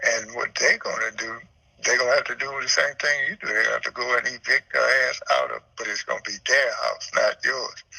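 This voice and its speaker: With a Louisiana accent, a man talks at a moderate pace over noticeable background noise. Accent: Louisiana Southern US. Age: 70s. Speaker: home seller. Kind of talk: phone call with buyer. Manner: rambling, repetitive.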